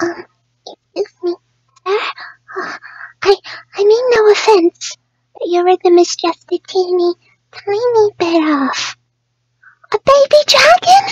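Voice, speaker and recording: A woman does a cartoonish character voice at an extremely high pitch, talking at a fairly slow pace with long, frequent pauses. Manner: soft-spoken, timid, hesitant.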